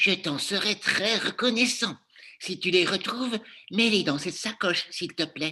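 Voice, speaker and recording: Moderately paced speech in a put-on character voice, pitched in the middle. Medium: read story. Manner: fussy.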